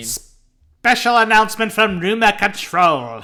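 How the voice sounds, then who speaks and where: A man puts on a nasal character voice with a high pitch and fairly even intonation. He talks at a fairly slow pace on a very clean recording with a silent background. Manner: annoying, announcer-like.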